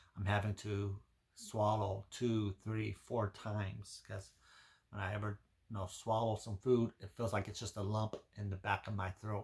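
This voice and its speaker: A man's somewhat breathy, fairly low voice in monotone, flat intonation at a fairly slow pace. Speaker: health vlogger. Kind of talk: personal health vlog. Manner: halting, repeats words.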